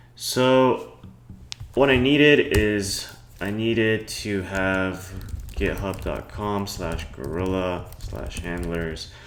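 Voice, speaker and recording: Speaking with ordinary pitch variation at a fairly low pitch, a man's voice carries audible room echo. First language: Cantonese. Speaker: programming tutorial youtuber. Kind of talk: tutorial. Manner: casual, hesitant with fillers.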